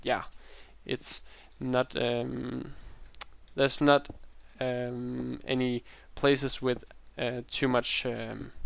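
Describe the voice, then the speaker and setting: Very slow and marked by long, frequent pauses, a man talks in a Danish accent. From Denmark. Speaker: Minecraft YouTuber. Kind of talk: gameplay tutorial. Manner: hesitant, many fillers.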